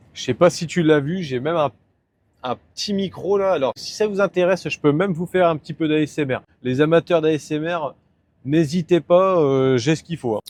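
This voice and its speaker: A man speaks with a northern French accent at a fairly high pitch. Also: ordinary pitch variation, moderate pace. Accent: northern French (Nord) vowel shifts. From northern France, Nord-Pas-de-Calais. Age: 20s. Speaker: truck driver vlogger. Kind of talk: casual vlog talk. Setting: in a truck cab while driving. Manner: casual, hesitant with fillers.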